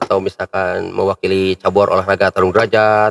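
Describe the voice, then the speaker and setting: With a West Javanese accent, a man talks at a moderate pace in a dry, close sound with no echo. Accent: Sundanese. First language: Sundanese (speaking Indonesian). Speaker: local public figure and athlete. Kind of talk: casual chat.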